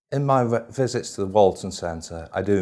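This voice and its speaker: A male voice is heard. The delivery moves at a moderate speed. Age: 60s. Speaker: patient. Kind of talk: testimonial interview. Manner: halting.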